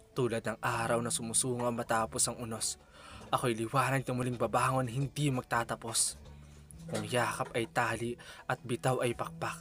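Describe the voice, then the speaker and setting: Music plays in the background as a man speaks at a moderate pace and medium pitch with fairly even intonation. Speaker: spoken word poet. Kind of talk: spoken word poetry.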